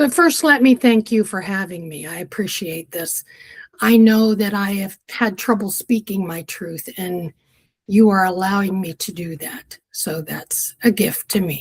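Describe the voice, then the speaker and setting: At a fairly slow pace, a woman speaks at a medium pitch. Her voice is somewhat breathy. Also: ordinary pitch variation, big swings in loudness. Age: 70s. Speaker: spiritual wisdom guest, retired mother and grandmother. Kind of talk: interview conversation.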